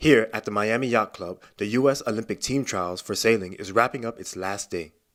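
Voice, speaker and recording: A normal speaking voice from a man at medium pitch, fairly quick, on a very clean recording with a silent background. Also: ordinary pitch variation. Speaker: sports and news anchor/reporter. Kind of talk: on-location sports reporter stand-up.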